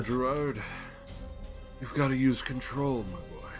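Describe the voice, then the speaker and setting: Loud music plays in the background as someone uses a put-on character voice at a fairly slow pace. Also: man, medium pitch for a man. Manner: calm, instructing.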